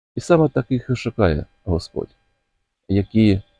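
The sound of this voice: A man with a fairly low pitch and a dark, mellow tone speaks at a slow pace in a dry, close sound with no echo.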